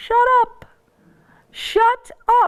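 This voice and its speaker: A squeaky, extremely high-pitched put-on character voice. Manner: urgent, pleading.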